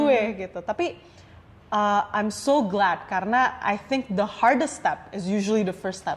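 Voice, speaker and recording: A woman talks with lively intonation. She is the one speaking. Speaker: podcast host. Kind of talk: casual podcast conversation.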